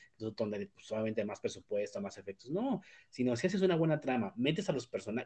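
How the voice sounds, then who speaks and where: This is a man talking. He speaks in a Mexican accent. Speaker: podcast host. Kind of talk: casual chat. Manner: halting, many fillers.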